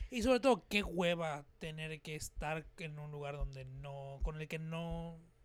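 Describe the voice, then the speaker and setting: An ordinary speaking voice at a fairly slow pace, with hardly any pauses and ordinary pitch variation. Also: man, fairly high pitch for a man. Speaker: podcast host and musician. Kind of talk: casual chat. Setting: studio with cameras.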